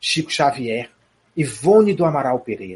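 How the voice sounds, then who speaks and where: A man talks at a fairly high pitch with very wide pitch swings. His delivery is fairly slow and somewhat breathy. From Brazil, Piauí. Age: 40s. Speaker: spiritist speaker and theatre director. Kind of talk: interview on spirituality.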